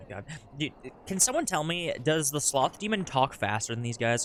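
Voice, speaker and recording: A man speaks with music in the background. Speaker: video game streamer. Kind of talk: gameplay commentary. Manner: fast.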